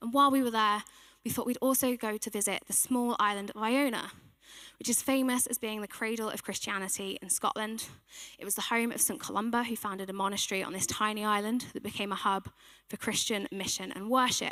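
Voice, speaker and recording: A woman's fairly high, bright and sharp voice at a fairly quick pace, with fairly even intonation. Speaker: church team member giving a sermon. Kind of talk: sermon. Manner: soft-spoken.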